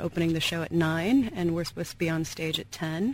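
Fairly quick and fairly low-pitched, a woman talks with an American accent in a normal speaking voice. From Seattle, US Pacific Northwest. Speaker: cellist and songwriter, guest musician. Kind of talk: casual radio interview. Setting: radio studio.

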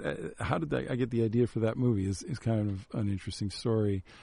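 A man with a medium pitch talks in an ordinary speaking voice with an American accent. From Chicago, South Side. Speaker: screenwriter. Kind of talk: casual chat. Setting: radio studio.

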